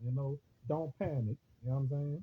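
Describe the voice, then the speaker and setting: A man with a New Orleans accent speaks at a fairly slow pace. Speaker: online radio host / livestreamer. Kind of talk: casual monologue on a Facebook livestream. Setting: Facebook live video stream. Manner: halting, repetitive with many fillers.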